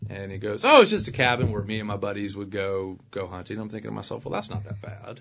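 Delivered very fast with hardly any pauses, the speech has a Southern US accent, monotone, flat intonation and big swings in loudness. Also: man, fairly low pitch for a man. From US South, Alabama (Opelika). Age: 30s. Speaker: family law attorney. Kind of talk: casual interview. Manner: jovial.

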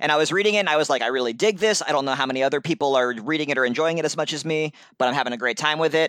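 Talking at a very fast pace, a man with an American accent keeps a fairly high pitch with ordinary pitch variation. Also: hardly any pauses. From US Northeast, Brooklyn and upstate New York. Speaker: comics journalist. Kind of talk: casual chat.

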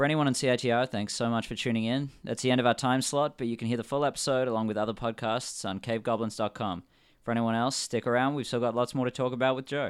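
A man with an Australian accent talks at a very fast pace and a medium pitch. His intonation is fairly even, and the recording is very clean with a silent background. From Western Australia, Perth. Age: 20s. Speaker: podcast host. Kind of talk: scripted show intro and outro; casual interview.

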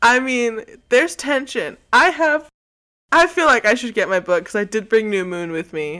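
A woman speaks at a moderate pace with a fairly high pitch and a bright, sharp tone. Her pitch swings very widely on a very clean recording with a silent background. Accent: American. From Texas. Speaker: podcast guest, fan. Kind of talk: casual chat. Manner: animated.

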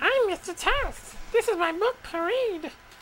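Someone puts on a squeaky character voice at an extremely high pitch, going at a fairly slow pace over clear background noise. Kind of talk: self-introducing, promotional. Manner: cute, cartoonish.

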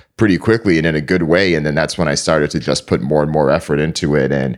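With an American accent, a man speaks at a very deep, low pitch with vocal fry. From Connecticut, US (East Hartford), Jamaican parents. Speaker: media company founder, journalist. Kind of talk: interview.

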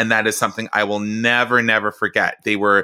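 Heard on a very clean recording with a silent background and a dry, close sound with no echo, a man with a Canadian accent speaks at medium pitch in a bright, sharp tone. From Canada, Mississauga, Ontario. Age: 40s. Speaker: theater artist and cabaret performer. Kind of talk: interview conversation.

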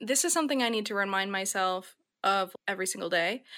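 Bright and sharp in tone, a woman speaks with an American accent and ordinary pitch variation. The recording is very clean with a silent background. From US Midwest, Minnesota. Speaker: type designer. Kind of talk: interview.

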